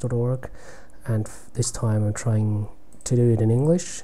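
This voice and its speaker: A man with a dark, mellow, somewhat breathy tone and medium pitch talks at a fairly slow pace amid audible room echo. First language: German. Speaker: chess streamer. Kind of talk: live game commentary. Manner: halting.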